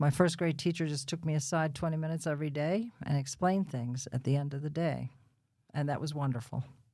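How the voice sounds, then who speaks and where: In a New Jersey accent, the speaker goes at a very fast pace with a dark, mellow tone and ordinary pitch variation. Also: woman, very deep, low pitch for a woman. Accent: New Jersey American. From Bayonne, New Jersey. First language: Russian. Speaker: podcast guest. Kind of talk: interview. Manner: casual, chatty.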